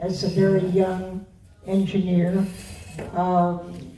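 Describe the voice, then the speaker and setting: A woman of medium pitch speaks at a very slow pace, with audible room echo and noticeable background noise. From US Northeast, Rockland County, New York. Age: 90s. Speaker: longtime trustee of a literary society. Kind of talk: interview before an audience.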